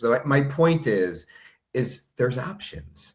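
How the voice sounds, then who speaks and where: On a very clean recording with a silent background, a man talks at a medium pitch in a somewhat breathy voice. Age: 60s. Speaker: online news platform owner. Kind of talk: interview.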